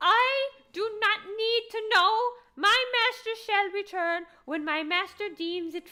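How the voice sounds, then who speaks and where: Using a put-on character voice, a woman speaks at an extremely high pitch in a raised, projected voice at a fairly slow pace. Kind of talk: archaic, formal. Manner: stiff, formal, dutiful.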